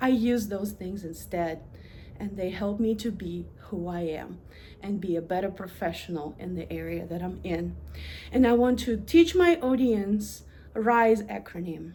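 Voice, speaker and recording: A woman in a Russian accent talks at a fairly slow pace, her loudness swinging widely, with audible room echo. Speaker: university administrator. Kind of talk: prepared presentation.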